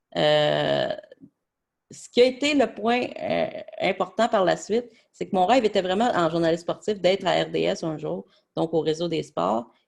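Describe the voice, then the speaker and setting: Speaking with a Quebec accent, a man moves at a fairly slow pace with long, frequent pauses. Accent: Québécois French. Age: 20s. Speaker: sports journalist. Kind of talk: presentation. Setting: webinar. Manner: hesitant, many filler words.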